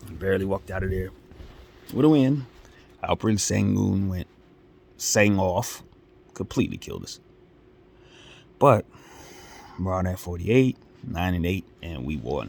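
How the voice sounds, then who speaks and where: A man's very deep, low voice, animated in tone with lively intonation, at a moderate pace with long, frequent pauses and big swings in loudness, in a very clean recording with a silent background. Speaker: sports YouTuber. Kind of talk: casual vlog commentary.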